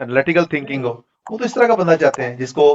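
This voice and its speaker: Speaking with a Pakistani accent, a man keeps a moderate pace. The sound is dry and close, with no echo. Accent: Pakistani Urdu. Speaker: data analytics trainer. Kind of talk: online class Q&A.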